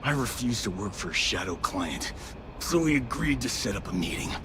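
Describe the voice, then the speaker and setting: Over loud background noise, a man puts on a character voice pitched fairly low. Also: fairly quick pace. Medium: video game. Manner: gruff, defiant.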